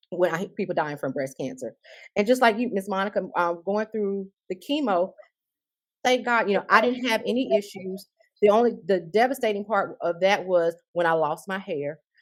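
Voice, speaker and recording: A woman's medium-pitched voice with a South Carolina accent and lively intonation. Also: moderate pace. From US South, South Carolina. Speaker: breast cancer survivor. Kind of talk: panel discussion, personal testimony.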